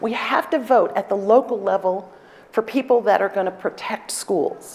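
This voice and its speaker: Over noticeable background noise, a woman talks at a fairly quick pace, her pitch fairly high with ordinary variation. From New York City, South Bronx. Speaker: law professor and dean. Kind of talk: conference talk Q&A. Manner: animated, energetic; loud.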